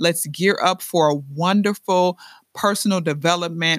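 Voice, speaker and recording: In a very clean recording with a silent background, a woman with a fairly low pitch speaks at a moderate pace in an animated tone, the sound dry and close with no echo. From Chicago, US Midwest. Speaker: podcast host and entrepreneur. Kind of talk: motivational podcast monologue.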